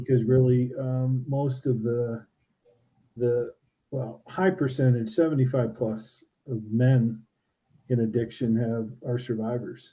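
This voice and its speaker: Somewhat breathy and dark, mellow in tone, a man at medium pitch speaks with fairly even intonation at a very slow pace, leaving long, frequent pauses. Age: 60s. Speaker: podcast host. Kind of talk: casual chat.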